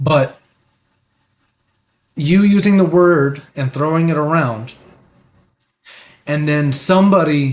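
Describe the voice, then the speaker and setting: The delivery is very slow, with ordinary pitch variation. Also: man. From United States. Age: 30s. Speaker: live streamer, political commentator. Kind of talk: live stream commentary. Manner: hesitant, with fillers.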